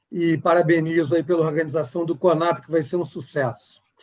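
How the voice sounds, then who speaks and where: The speaker is a man with a fairly high pitch. His pace is moderate. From Rio de Janeiro, Brazil. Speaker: healthcare executive. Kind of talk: panel discussion.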